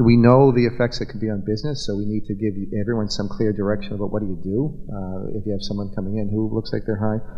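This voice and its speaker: Rushing at a very fast pace with hardly any pauses, a man speaks at fairly low pitch with fairly even intonation. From Massachusetts. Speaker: state legislator; panelist. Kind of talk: panel forum discussion. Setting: stage with audience, microphone. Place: hall. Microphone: podium.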